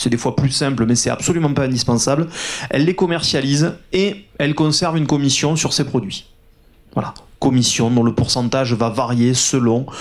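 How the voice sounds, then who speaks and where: A man with a southern French accent talks fairly quickly at a medium pitch, his pitch varying in an ordinary way. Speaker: agency founder, conference speaker. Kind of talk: conference talk.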